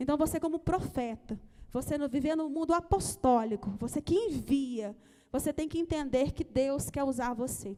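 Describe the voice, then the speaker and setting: High-pitched yet dark and mellow in tone, a woman's voice moves at a moderate pace with ordinary pitch variation. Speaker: church leader. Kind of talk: offering appeal in live-streamed service. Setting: church, live-streamed service.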